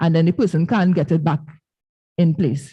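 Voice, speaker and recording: A woman with a fairly low pitch talks in a dark, mellow tone that is somewhat breathy, over a quiet background. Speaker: dentist. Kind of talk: health talk at church. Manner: fast.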